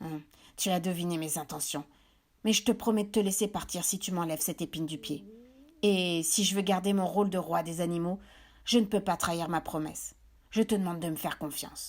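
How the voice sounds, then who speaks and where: A woman puts on a gruff character voice with a fairly low pitch. She talks at a fairly quick pace broken by long, frequent pauses. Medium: read story. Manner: menacing.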